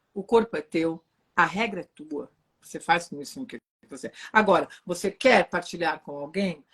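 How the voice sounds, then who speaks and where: The sound is dry and close, with no echo, and the pace is moderate. The delivery is animated, with lively intonation and big swings in loudness. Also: woman, fairly low pitch for a woman. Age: 40s. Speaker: relationship therapist. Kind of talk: live stream conversation. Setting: online live stream.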